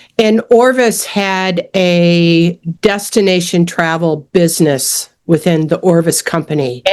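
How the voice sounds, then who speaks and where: Using a plain, everyday voice, a woman speaks at medium pitch with ordinary pitch variation. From US Midwest, suburbs of Detroit, Michigan. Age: 60s. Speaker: fly casting instructor and fishing guide. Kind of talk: interview.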